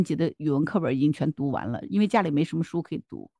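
Very fast speech from a woman with vocal fry, against a quiet background with a dry, close sound and no echo. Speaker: podcast co-host. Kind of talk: casual chat.

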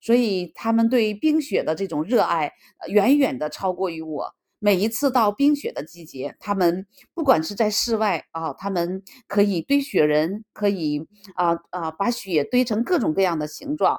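Recorded dry and close with no echo, a woman speaks at a fairly slow pace with very wide pitch swings. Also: medium pitch for a woman. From northeast China, Harbin. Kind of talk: personal monologue. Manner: halting, with many fillers.

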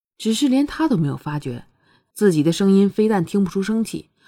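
A natural reading voice with lively intonation against a quiet background.

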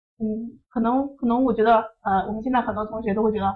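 The speaker is a woman with a fairly high pitch. Her intonation is monotone and flat. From northern China, Shanxi. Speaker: exam prep tutor. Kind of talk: online lecture.

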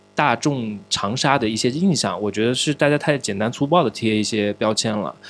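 A man's plain, everyday voice at medium pitch and a moderate pace, with ordinary pitch variation. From Changsha, Hunan, China. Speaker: podcast host. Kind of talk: casual chat. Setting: studio.

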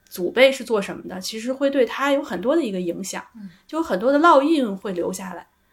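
A woman talks at a fairly quick pace. Her fairly high voice swings very widely in pitch. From Beijing. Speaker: psychological counselor. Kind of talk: casual chat.

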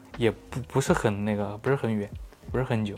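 A man is talking. His pace is fairly quick. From Xinjiang, later Chongqing. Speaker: photography blogger. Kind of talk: casual chat.

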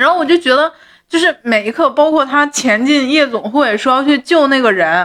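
Against a very clean recording with a silent background, a high-pitched woman talks at a moderate pace with lively intonation and very even loudness. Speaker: podcast co-host. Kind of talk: casual chat about a TV drama.

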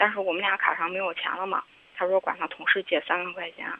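Fairly quick in pace, a woman talks at a medium pitch. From Henan. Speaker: caller. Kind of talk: phone-in confession. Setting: phone call. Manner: halting.

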